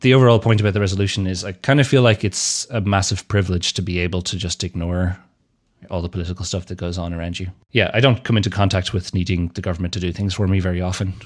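A man's very deep, low voice with an Irish accent, fairly even intonation and a very fast pace. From Ireland. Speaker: podcast host, app developer. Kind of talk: casual chat.

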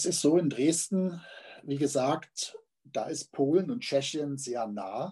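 A man's fairly high, somewhat breathy voice with a dark, mellow tone, lively intonation and a very slow pace. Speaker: literary magazine editor and poet. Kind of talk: interview. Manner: halting, many fillers.

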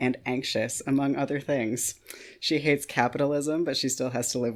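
Someone reads the text aloud in a natural voice, keeping the intonation fairly even.

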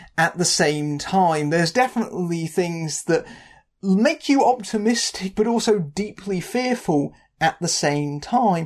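In a British accent, a woman speaks at a fairly slow pace with medium pitch. Her intonation is lively, and the background is quiet. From Britain. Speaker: film critic. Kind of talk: scripted narration. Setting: home.

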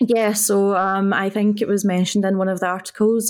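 Captured in a very clean recording with a silent background, a woman speaks at a fairly quick pace with monotone, flat intonation. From Scotland. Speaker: former esports team captain. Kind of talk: interview.

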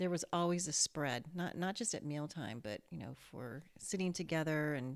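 Her voice very deep and low, a woman talks at a moderate pace. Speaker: mother. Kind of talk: casual chat.

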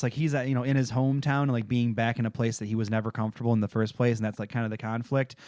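A man with a Midwestern American accent keeps fairly even intonation on a very clean recording with a silent background. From Michigan. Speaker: podcast co-host. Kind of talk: casual chat.

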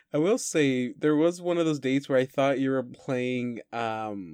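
A man's ordinary speaking voice, at a fairly slow pace with ordinary pitch variation, in a dry, close sound with no echo. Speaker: game master. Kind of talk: tabletop role-playing game session.

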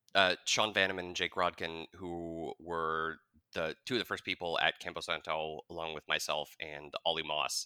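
A man with an American accent speaks at a fairly slow pace in a bright, sharp tone, the recording very clean with a silent background and dry and close with no echo. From Wyoming, US (Jackson). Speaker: video game designer. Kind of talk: casual interview chat.

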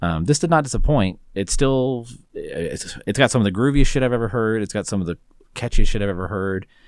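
A man with a plain, everyday voice and an American accent speaks at a medium pitch and a fairly quick pace. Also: lively intonation. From Texas. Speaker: podcast co-host. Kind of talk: casual chat.

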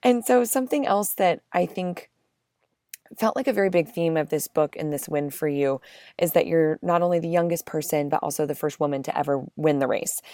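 In a very clean recording with a silent background, the sound is dry and close with no echo. A woman with an American accent speaks at a fairly quick pace with a fairly low pitch, a dark, mellow tone and lively intonation. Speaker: podcast co-host. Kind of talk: podcast interview.

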